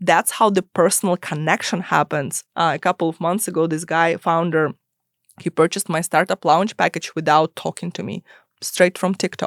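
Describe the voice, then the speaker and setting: At a moderate pace and with fairly even intonation, the speech is dry and close with no echo, in a very clean recording with a silent background. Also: woman, fairly low pitch for a woman. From immigrant to US, non-English-speaking country. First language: not English. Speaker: startup lawyer. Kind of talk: podcast interview.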